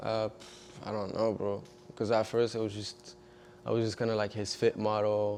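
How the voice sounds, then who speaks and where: A man speaks with a French accent in monotone, flat intonation. Long, frequent pauses break up his speech. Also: fairly low pitch for a man, moderate pace. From eastern France. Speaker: fashion designer and model. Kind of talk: casual chat. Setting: studio.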